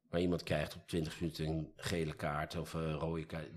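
The recording is very clean, with a silent background. A man with a very deep, low pitch talks at a moderate pace in a flat, monotone way. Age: 50s. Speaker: employment lawyer. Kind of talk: casual chat. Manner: halting.

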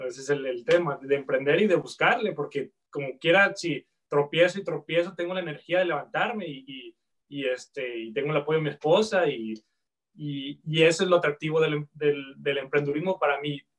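A man's plain, everyday voice, fairly high in pitch, at a moderate pace with ordinary pitch variation and big swings in loudness. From Guadalajara, Mexico. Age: 30s. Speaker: chef, entrepreneur. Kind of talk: casual interview.

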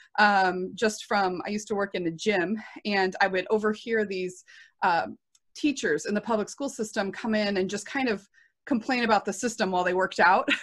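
On a very clean recording with a silent background, a woman talks at a medium pitch and a moderate pace. She has an ordinary speaking voice with ordinary pitch variation. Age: 30s. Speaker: working homeschool mom. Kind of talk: casual interview.

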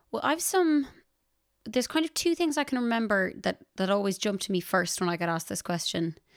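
A woman in a western Irish accent, medium-pitched with very wide pitch swings, at a fairly quick pace on a very clean recording with a silent background. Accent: Irish (west of Ireland). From Ireland, Ballinasloe, County Galway. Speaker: singer-songwriter and music teacher. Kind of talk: casual interview.

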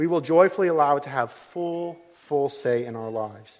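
A man speaks at a moderate pace and fairly high pitch in a plain, everyday voice. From United States. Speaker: pastor. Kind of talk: sermon. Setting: church.

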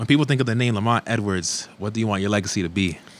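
A man's fairly low voice with ordinary pitch variation, a plain, everyday voice. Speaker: sports podcast host. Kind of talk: interview. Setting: studio.

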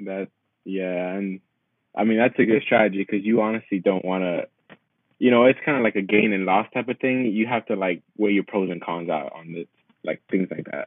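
His pitch sits fairly low for a man, and it shifts in an ordinary way. He talks at a medium tempo. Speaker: podcast host. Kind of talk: interview. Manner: casual, filler-heavy.

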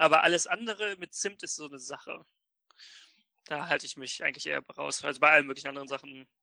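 A man with a fairly high, bright, sharp voice and vocal fry talks very fast with ordinary pitch variation, big swings in loudness and long, frequent pauses, in a dry, close recording with no echo. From northern Germany, Oldenburg. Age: 20s. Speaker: podcast co-host. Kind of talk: casual chat.

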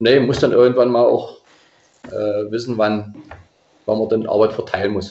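Speaking at a moderate pace with long, frequent pauses, a man keeps his medium-pitched voice in fairly even intonation. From Saxony-Anhalt, Germany (Anhalt-Bitterfeld district). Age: 50s. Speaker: regional football association president. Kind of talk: casual interview.

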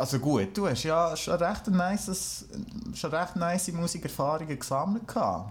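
A man's high-pitched voice in a Swiss accent, with lively intonation, a moderate pace and very even loudness. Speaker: musician. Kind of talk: casual chat. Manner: halting.

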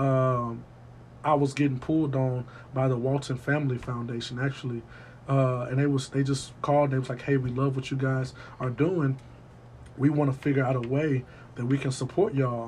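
A man with an American accent talks at a moderate pace and medium pitch, somewhat breathy, with monotone, flat intonation. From US South, West Memphis, Arkansas. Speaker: music curator. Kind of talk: casual interview. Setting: in person studio.

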